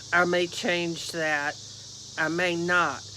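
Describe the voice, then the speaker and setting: At a very slow pace, the speech carries audible room echo and noticeable background noise. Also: woman. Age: 60s. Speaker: YouTuber. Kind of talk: reading aloud; casual vlog talk. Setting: outdoors.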